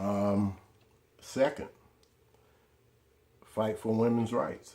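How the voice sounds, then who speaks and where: A man's medium-pitched voice, very slow pace, dark and mellow tone. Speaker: political video blogger. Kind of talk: monologue to camera. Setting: in front of a camera. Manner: animated, informal.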